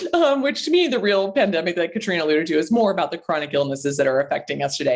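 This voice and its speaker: A woman is speaking. Her intonation is lively. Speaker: naturopathic doctor. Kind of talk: interview. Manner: fast.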